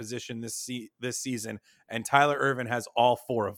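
The recording is very clean, with a silent background. A man with an unremarkable speaking voice talks at a moderate pace and a medium pitch. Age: 30s. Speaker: fantasy football podcast host. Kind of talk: casual chat.

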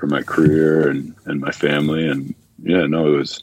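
Very deep, low-pitched male voice with a Canadian accent, at a moderate pace. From Canada, Ontario. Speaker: professional basketball player. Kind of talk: interview.

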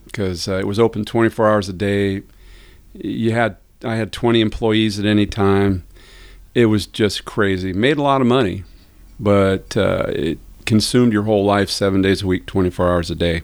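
Over a silent background in a very clean recording, a man with a normal speaking voice talks at a moderate pace, his fairly low pitch held in fairly even intonation. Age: 60s. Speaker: auto repair shop owner. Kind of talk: casual chat.

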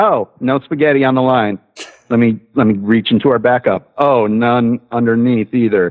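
A man with an unremarkable speaking voice talks with fairly even intonation. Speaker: caller, former cook. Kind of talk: casual chat. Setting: phone call.

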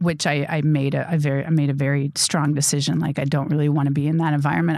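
With an American accent, a woman speaks at a very fast pace in a very deep, low voice with fairly even intonation, on a very clean recording with a silent background. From Wisconsin, Milwaukee suburbs. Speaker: filmmaker and actor. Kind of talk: interview. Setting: studio.

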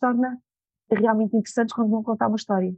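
In a quiet background with a dry, close sound and no echo, a woman speaks at a fairly high pitch in a somewhat breathy, dark, mellow tone. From Portugal, Lisbon area. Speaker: image and attitude trainer, former model. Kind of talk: interview.

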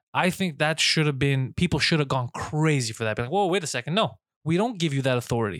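Talking at a very fast pace with lively intonation, a man with a Montreal accent uses a fairly high voice. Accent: Montreal anglophone English. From Montreal, Quebec. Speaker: stand-up comedian. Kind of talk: casual chat. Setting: studio.

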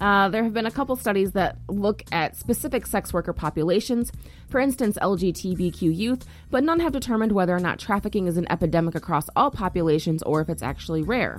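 This woman talks at a fairly quick clip in a medium pitch, with vocal fry. Her intonation is lively and her loudness stays very even. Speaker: podcast host. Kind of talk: solo news commentary. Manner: casual, frequent fillers.

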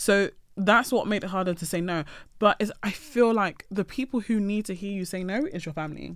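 Over a silent background in a very clean recording, a woman talks fairly quickly in a normal speaking voice at medium pitch, with ordinary pitch variation. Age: 20s. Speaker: podcast guest. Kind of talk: casual chat.

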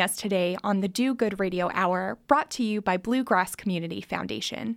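An American accent carries this woman's voice at a moderate pace. Her pitch varies in an ordinary way. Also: very clean recording, silent background. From Harlan County, Kentucky. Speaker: radio host. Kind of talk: casual radio interview. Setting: studio.

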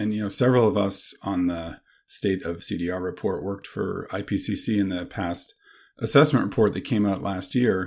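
In an ordinary speaking voice, a man talks with fairly low pitch and ordinary pitch variation at a moderate pace. The recording is very clean, with a silent background. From Canada. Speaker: professor. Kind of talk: interview.

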